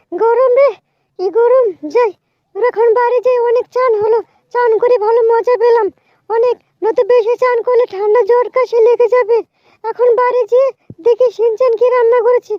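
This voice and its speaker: A woman performs a put-on character voice at an extremely high pitch. Her intonation is monotone and flat. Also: moderate pace, very even loudness. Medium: machinima. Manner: scolding, impatient.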